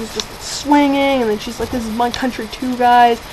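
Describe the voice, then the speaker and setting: A woman talks at a moderate pace in a fairly high voice. Her pitch varies in an ordinary way, and background noise is noticeable. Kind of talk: casual movie review to webcam. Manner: hesitant, rambling, many fillers.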